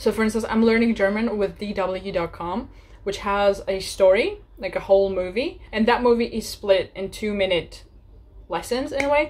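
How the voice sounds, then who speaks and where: A woman with a normal speaking voice keeps a moderate tempo, her medium pitch moving in an ordinary way. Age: 20s. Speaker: language learning YouTuber. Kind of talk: casual tutorial. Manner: casual, with fillers.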